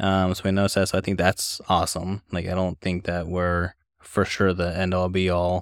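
A man speaks in a very deep, low voice at a moderate pace, his intonation flat and monotone. The recording is very clean, with a silent background and a dry, close sound that has no echo. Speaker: podcast host, physical therapy assistant. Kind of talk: casual chat.

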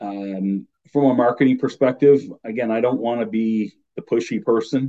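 This is a man talking. His pitch contour is fairly even. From Newfoundland, Canada. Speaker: real estate broker. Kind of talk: casual interview chat.

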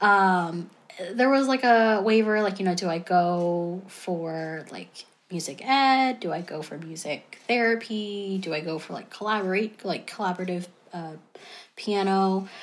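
A woman with an American accent and a plain, everyday voice speaks fairly slowly at a medium pitch, with ordinary pitch variation and big swings in loudness. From US South, North Carolina. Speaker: former music therapist. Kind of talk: interview.

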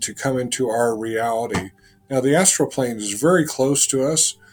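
Ordinary pitch variation marks a normal speaking voice delivered at a moderate pace. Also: man. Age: 60s. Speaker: spiritual healer and former rocket scientist. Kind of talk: interview.

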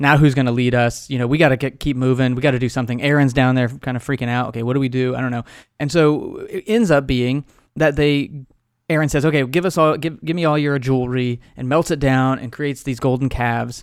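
A man speaks very fast with an American accent, at a medium pitch and with fairly even intonation. The recording is very clean, with a silent background. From Texas, Amarillo. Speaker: podcaster and author, former pastor and professor. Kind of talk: interview conversation.

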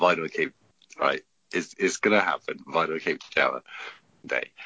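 The man speaks at a moderate pace. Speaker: military serviceman, podcast panelist. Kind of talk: casual chat. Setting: video call from abroad.

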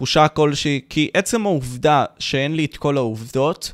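At a fairly slow pace, a man speaks in an animated tone with ordinary pitch variation. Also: very clean recording, silent background. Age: young. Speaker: youtuber and podcast host. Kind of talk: live stream Q&A.

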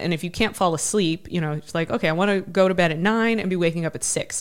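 A woman talks at a very fast pace with an American accent. Her pitch is fairly low and her intonation fairly even. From Ohio, US Midwest. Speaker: army veteran and adventurer. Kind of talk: interview conversation.

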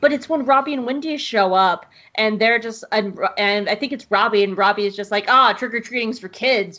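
A woman talks at a fairly quick pace in an ordinary speaking voice. Her pitch is fairly high with ordinary variation. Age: 30s. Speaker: podcast host. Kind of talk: casual chat; scripted narration.

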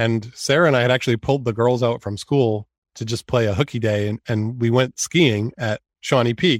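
A man with an American accent and an unremarkable speaking voice, at a moderate pace with hardly any pauses, in a dry, close sound with no echo on a very clean recording with a silent background. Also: medium pitch for a man, ordinary pitch variation. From US Northeast, Maine. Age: 40s. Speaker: entrepreneur, cancer patient. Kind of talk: interview.

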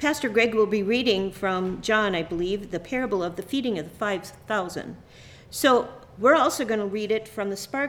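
Someone is reading aloud in a natural voice, and the pitch rises and falls in an ordinary way.

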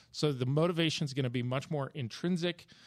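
A man talks in a normal speaking voice at a moderate pace with ordinary pitch variation, recorded very cleanly against a silent background with a dry, close sound and no echo. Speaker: real estate agent and author. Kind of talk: casual panel discussion.

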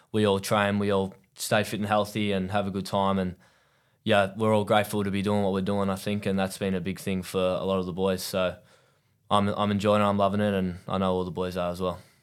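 The voice has an Australian accent and a monotone, flat intonation. Its recording is very clean, with a silent background. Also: man, fairly low pitch for a man, fairly quick pace. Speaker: professional cricketer. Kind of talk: casual chat.

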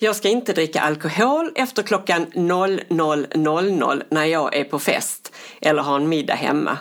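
Here is a woman with a plain, everyday voice. She speaks at a fairly low pitch and a fairly slow pace. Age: 60s. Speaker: podcast co-host. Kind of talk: casual chat.

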